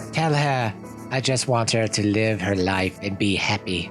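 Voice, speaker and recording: Over loud background music, a man uses a put-on character voice at a fairly low pitch. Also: moderate pace. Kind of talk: game playthrough reading with commentary.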